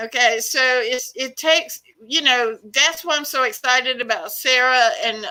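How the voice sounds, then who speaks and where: A woman's raised, projected voice in an American accent, high-pitched with a bright, sharp tone, at a fairly slow pace with ordinary pitch variation. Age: 60s. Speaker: activist. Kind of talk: interview. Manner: animated.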